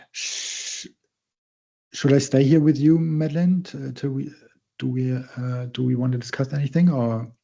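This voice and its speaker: In a German accent, a man with a dark, mellow tone and medium pitch speaks at a moderate pace with fairly even intonation. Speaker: guest speaker. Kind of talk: casual farewell chat. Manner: halting.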